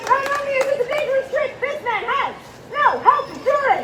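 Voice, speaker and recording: In a squeaky, put-on character voice at an extremely high pitch, the speaker moves at a fairly quick pace over light background noise. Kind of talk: carnival barker showmanship. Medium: stage play. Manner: loud, joking, crowd-working.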